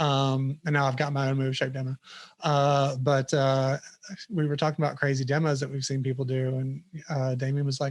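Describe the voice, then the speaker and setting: A man with a Southern US accent, fairly high pitch, monotone and flat intonation, and a moderate pace. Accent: noticeable Southern US. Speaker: software product manager. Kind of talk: casual interview chat.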